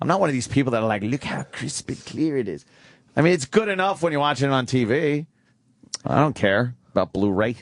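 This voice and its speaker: A man with an unremarkable speaking voice talks at medium pitch. His pace is fairly quick and his intonation lively. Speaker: radio show host. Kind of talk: radio show banter.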